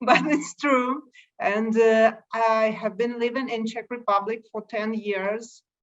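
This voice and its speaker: This woman talks at a very slow pace with a Russian accent and fairly even intonation. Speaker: light painting photographer. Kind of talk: interview. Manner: halting.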